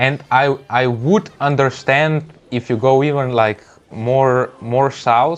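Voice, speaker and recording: At a very slow pace, a man with a Slovenian accent speaks in a medium pitch with fairly even intonation. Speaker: gaming streamer. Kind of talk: live gameplay stream chat. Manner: halting, frequent word repetitions.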